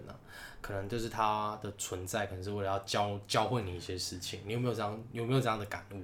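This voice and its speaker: In a very fast, monotone, flat delivery, a man with a fairly low pitch sounds somewhat breathy amid audible room echo. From Taiwan, Taichung. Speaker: podcast co-host. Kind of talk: casual chat.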